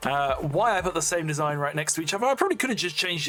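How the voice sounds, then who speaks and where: Someone with an English accent talks at a very fast pace over noticeable background noise. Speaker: gaming YouTuber. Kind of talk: casual gameplay commentary. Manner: casual, hesitant with fillers.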